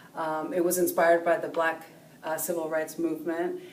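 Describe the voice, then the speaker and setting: A woman speaks at a very deep, low pitch. Audible room echo and noticeable background noise surround her. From California, Mexican-American. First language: Spanish. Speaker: professor. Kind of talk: personal interview monologue. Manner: hesitant, many fillers.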